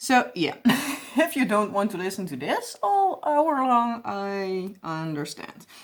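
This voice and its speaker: A woman with a strong Dutch accent talks at a very slow pace. Her pitch swings very widely. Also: medium pitch for a woman. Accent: heavy Dutch. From Netherlands. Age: 20s. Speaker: crafting YouTuber. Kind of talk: casual chat while crafting. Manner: rambling.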